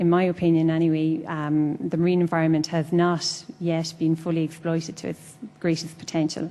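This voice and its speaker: A woman speaks at a moderate pace with an Irish accent, her fairly low pitch held in a monotone, flat intonation. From Ireland. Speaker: food science researcher. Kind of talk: panel introduction.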